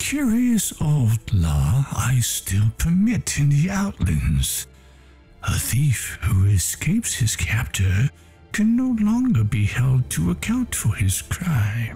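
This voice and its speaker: Very slow speech at a very even loudness, with faint music in the background. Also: man, medium pitch for a man. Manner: smug, menacing.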